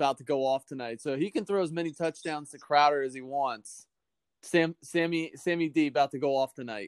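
A man talks at a moderate pace in a normal speaking voice, his pitch fairly high with ordinary variation. His loudness swings widely, and the sound is dry and close with no echo. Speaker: fantasy football league player. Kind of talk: casual chat.

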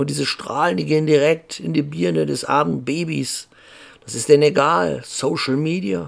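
Pitched fairly high with very wide pitch swings, a man speaks at a moderate pace. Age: 50s. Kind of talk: casual monologue.

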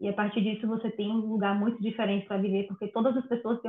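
A woman talks at a very fast pace in a fairly high pitch, her intonation monotone and flat. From Bahia, Brazil. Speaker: biologist moving into software development. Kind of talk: casual interview.

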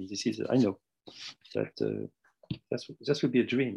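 A man with a French accent has a dark, mellow tone and vocal fry. His intonation is lively. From Tunisia and Morocco. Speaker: retired mathematics professor. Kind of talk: interview. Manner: halting.

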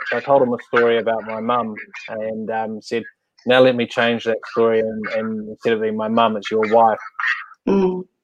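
Fairly even intonation runs through talking at a moderate pace. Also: man, medium pitch for a man. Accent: New Zealand. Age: 40s. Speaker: livestream host. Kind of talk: casual interview.

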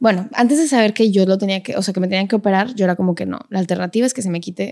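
Her pitch medium, a woman speaks with ordinary pitch variation. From Monterrey, Nuevo León, Mexico. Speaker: professional ballet dancer and teacher. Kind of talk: casual interview conversation.

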